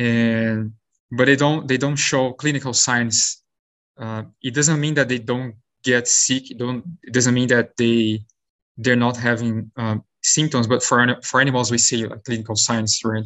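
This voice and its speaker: At a fairly slow pace, this voice delivers its words in a monotone, flat intonation with a Brazilian accent. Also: man, medium pitch for a man. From Brazil, São Paulo state. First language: Portuguese. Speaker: postdoctoral virologist. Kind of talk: interview. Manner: halting.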